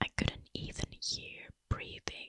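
A woman whispers quietly at a very slow pace, the sound dry with no echo. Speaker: storyteller. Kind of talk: horror story narration. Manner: hushed suspenseful whisper. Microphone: studio mic.

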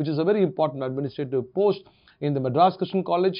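Against a quiet background, a man speaks at a fairly high pitch. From India, Chennai; India. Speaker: university administrator. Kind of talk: interview answers. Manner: formal. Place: office.

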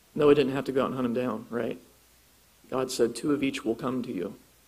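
At a fairly quick pace, a man with a medium pitch speaks with fairly even intonation. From Ohio, US Midwest. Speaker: creationist speaker and author. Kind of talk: lecture; Q&A answers. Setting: church conference with audience.

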